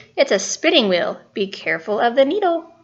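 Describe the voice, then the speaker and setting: A woman's put-on character voice, fairly quick, with very wide pitch swings. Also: high pitch for a woman. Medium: read story. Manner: warm, motherly.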